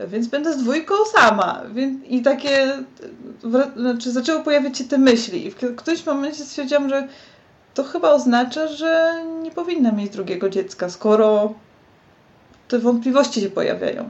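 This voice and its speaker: A woman talks in a high voice at a moderate pace, with lively intonation. Her pauses are long and frequent. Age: 30s. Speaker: graphic designer. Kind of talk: casual chat.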